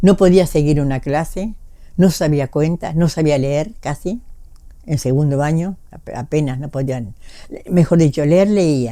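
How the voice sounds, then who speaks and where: Speaking at a fairly slow pace, a woman uses lively intonation and a dark, mellow tone. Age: 80s+. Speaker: former tango dancer. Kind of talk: interview answer.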